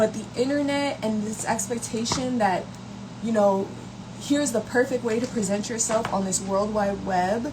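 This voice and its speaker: Speech comes at a moderate pace with fairly even intonation. Noticeable background noise and audible room echo are present. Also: woman, fairly high pitch for a woman. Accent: American. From New York, Brooklyn. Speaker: content creator. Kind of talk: casual livestream talk. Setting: live stream. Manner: casual, conversational.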